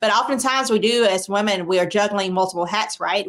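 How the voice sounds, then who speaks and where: With a South Carolina accent, a woman talks at a fairly quick pace in a medium pitch. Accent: Southern US (South Carolina). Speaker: TV health show host, doctor. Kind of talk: interview.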